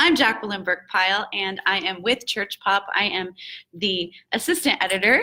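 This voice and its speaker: A woman talks at a fairly slow pace with a bright, sharp tone. Her pitch is medium and her intonation lively. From Texas. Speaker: online magazine editor, interviewer. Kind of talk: casual interview. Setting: conference booth, live stream.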